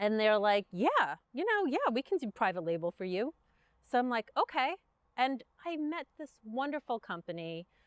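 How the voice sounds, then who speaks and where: With a Brooklyn accent, a woman speaks at a fairly high pitch and moderate pace. Her pitch swings very widely, and the sound is dry and close with no echo. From Brooklyn, New York. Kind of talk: interview conversation. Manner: casual, halting with fillers.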